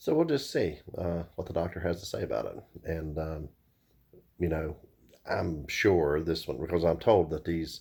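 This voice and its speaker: Very deep and low, a man's somewhat breathy voice keeps a moderate pace and fairly even intonation in a very clean recording with a silent background. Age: 50s. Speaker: vlogger. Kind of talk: casual video diary. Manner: hesitant with many fillers.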